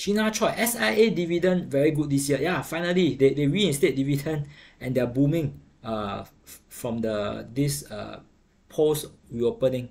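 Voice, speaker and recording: Someone speaks at a fairly slow pace with a Singaporean accent. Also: man. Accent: Singaporean English (Singlish). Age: 40s. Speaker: investing livestream host. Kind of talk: casual livestream commentary on markets. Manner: casual, conversational with filler words. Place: home room. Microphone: webcam.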